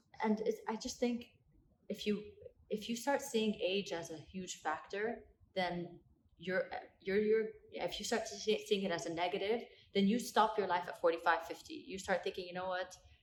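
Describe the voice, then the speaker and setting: At a moderate pace, a woman speaks at a medium pitch with ordinary pitch variation and long, frequent pauses. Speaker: athlete and entrepreneur. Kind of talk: podcast interview. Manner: articulate speaker.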